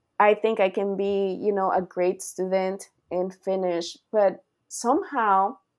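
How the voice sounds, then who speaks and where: A woman speaks with a Spanish accent. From Costa Rica. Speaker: university professor. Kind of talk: interview.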